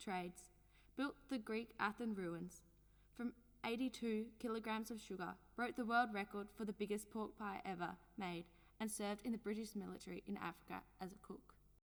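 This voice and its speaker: Moderate-paced speech from a woman at a fairly high pitch, in an ordinary speaking voice with ordinary pitch variation. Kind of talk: documentary narration.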